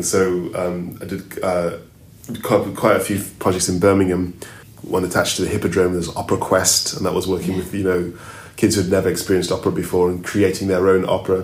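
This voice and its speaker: A man talks at a fairly quick pace in a very deep, low pitch. There is audible room echo. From Zambia. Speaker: opera singer. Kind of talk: interview. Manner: halting.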